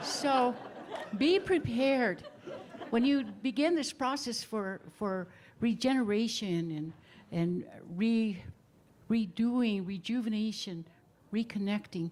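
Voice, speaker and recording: Speaking very slowly with long, frequent pauses, a woman with an American accent uses a fairly high, somewhat breathy voice and lively intonation. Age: 70s. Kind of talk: panel talk at a book release.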